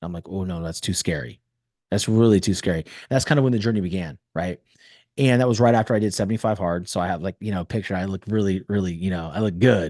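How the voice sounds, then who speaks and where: An animated man with a Californian accent speaks at a fairly quick pace with ordinary pitch variation, in a dry, close sound with no echo and a quiet background. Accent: General American (Californian). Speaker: podcast host and mental performance coach. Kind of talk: interview storytelling.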